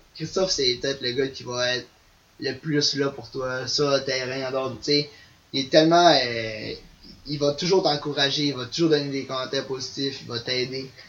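Speaking at a moderate pace and medium pitch with fairly even intonation, the man has a normal speaking voice. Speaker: ultimate frisbee player. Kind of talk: casual interview.

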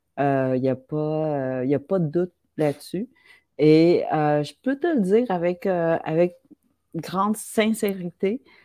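A woman speaks very slowly at a fairly low pitch. Her intonation is lively. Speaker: writer. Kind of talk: casual chat.

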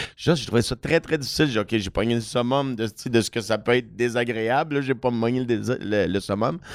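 On a very clean recording with a silent background, a man talks in an ordinary speaking voice at medium pitch. His pace is fairly quick with hardly any pauses and ordinary pitch variation. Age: 40s. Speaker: comedian and radio host. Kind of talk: casual chat.

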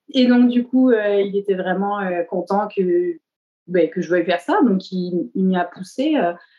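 A woman talks fairly slowly at a medium pitch, with ordinary variation in it. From southern France. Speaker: tattoo artist. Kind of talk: interview. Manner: hesitant, many fillers.

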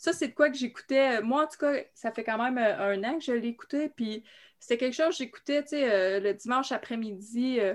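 A high-pitched woman with ordinary pitch variation, against a quiet background. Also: moderate pace. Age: 40s. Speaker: horror fan panelist. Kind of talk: casual chat.

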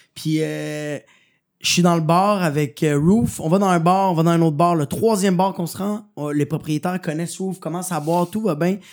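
A high-pitched man in a Quebec accent, moderate in pace, with fairly even intonation, in a very clean recording with a silent background. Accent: Québécois French. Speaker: comedian. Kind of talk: casual chat.

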